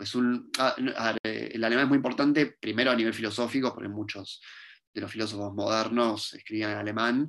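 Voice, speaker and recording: A man speaks at a very fast pace with a medium pitch. The background is quiet. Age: 20s. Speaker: philosophy professor. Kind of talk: interview.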